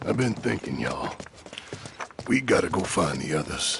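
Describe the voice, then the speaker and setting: A man's raspy, put-on character voice, very deep and low, with very wide pitch swings at a moderate pace. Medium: game stream. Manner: loud, emotional.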